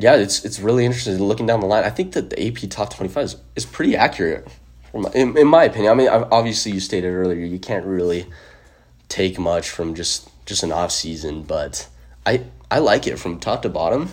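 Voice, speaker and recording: The speaker has a Western US accent and lively intonation. The pace is fairly quick. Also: man, fairly low pitch for a man. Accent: American, western US. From Utah. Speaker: sports podcast host. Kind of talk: casual chat.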